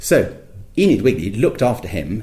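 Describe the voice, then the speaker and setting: This is a man's voice. It sounds somewhat breathy. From Scotland. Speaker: polar explorer and campaigner. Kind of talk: interview. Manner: hesitant, many fillers.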